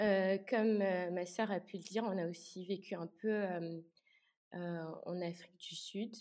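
A woman at medium pitch, very slow, in a flat monotone. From Luxembourg. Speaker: student. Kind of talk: casual interview.

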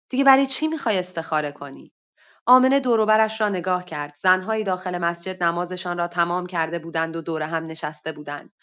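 A woman with a fairly low pitch, talking at a very fast pace with lively intonation. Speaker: workshop participant reading her own short story. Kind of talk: reading aloud a story. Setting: online voice chat room.

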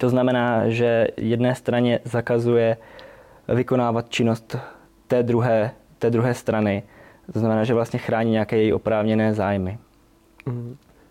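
The voice has a dark, mellow tone and a monotone, flat intonation at a moderate pace. Loudness stays very even, broken by long, frequent pauses. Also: man, medium pitch for a man. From Czech Republic, Olomouc region (Moravia). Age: 20s. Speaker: trainee lawyer and doctoral student. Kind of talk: legal explanation; casual interview.

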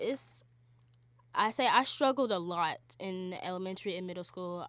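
A woman with an American accent talks at a fairly slow pace and a medium pitch, in an unremarkable speaking voice. The recording is very clean, with a silent background. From Charlotte, North Carolina. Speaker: college student. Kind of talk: interview.

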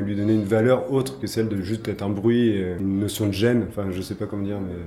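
Over noticeable background noise and audible room echo, a man with a fairly low pitch talks at a moderate pace with fairly even intonation. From Brittany, France. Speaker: artist and designer. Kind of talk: interview. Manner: hesitant, many fillers.

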